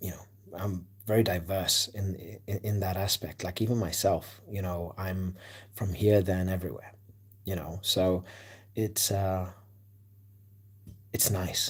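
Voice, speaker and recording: Over a very clean recording with a silent background, a man speaks in a very deep, low, somewhat breathy voice, monotone and flat, with long, frequent pauses. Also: fairly slow pace. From South Africa, Cape Town. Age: 30s. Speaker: sports livestreamer. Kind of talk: casual chat. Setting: livestream at night. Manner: hesitant, many fillers.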